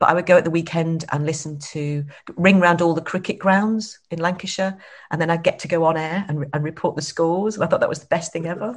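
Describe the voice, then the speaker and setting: A woman's somewhat breathy, fairly low-pitched voice at a very fast pace, with fairly even intonation. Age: 50s. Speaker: entrepreneur. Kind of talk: interview. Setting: video call.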